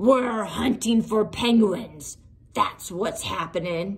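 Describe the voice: A gruff, growling put-on character voice at a very slow pace. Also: woman, fairly high pitch for a woman.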